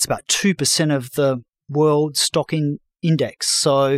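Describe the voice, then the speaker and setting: In a very clean recording with a silent background and a dry, close sound with no echo, a man with an Australian accent speaks at a fairly high pitch. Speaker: financial journalist and former fund manager. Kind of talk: interview.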